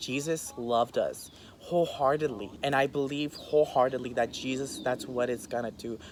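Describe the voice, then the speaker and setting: At a moderate pace with hardly any pauses, a man with an unremarkable speaking voice talks at a medium pitch with fairly even intonation. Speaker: interview guest sharing personal story. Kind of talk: interview.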